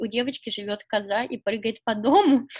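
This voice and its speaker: With an unremarkable speaking voice, a woman talks at a moderate pace, her fairly high pitch moving with ordinary variation. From Russia, Nizhny Novgorod. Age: 20s. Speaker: fashion model. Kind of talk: casual interview. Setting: video call.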